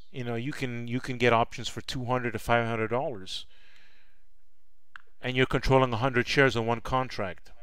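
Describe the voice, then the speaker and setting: Speaking with a Canadian accent at a medium pitch, a man keeps a monotone, flat intonation. His pace is fairly quick, broken by long, frequent pauses. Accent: Canadian twang. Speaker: stock trading educator. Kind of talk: live stream chat. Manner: repetitive stammering restarts.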